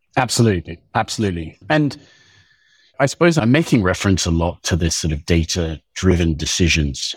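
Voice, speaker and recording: A man with a very deep, low voice speaks with lively intonation and a somewhat breathy sound. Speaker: agtech company co-founder. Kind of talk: podcast interview. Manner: animated.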